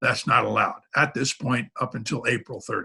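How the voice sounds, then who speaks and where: With vocal fry and a bright, sharp tone, a man speaks at a fairly quick pace. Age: 70s. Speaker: sailor and sailing committee representative. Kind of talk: interview.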